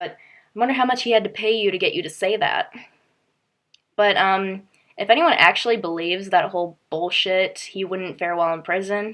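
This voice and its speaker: A woman at a medium pitch and moderate pace, with ordinary pitch variation. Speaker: video blogger ranting about news. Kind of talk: casual vlog rant. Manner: sarcastic-sounding tone; hesitant, many fillers.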